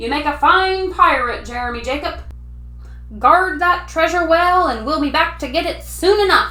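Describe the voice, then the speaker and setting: A loud, bellowing put-on character voice from a man at a moderate pace, with noticeable background noise. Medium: read story. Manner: loud, bellowing pirate talk.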